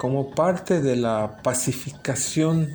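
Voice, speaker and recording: Against noticeable background noise, a man with a medium pitch and ordinary pitch variation speaks at a very slow pace. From Felipe Carrillo Puerto, Quintana Roo, Mexico. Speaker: city chronicler. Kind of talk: interview answer.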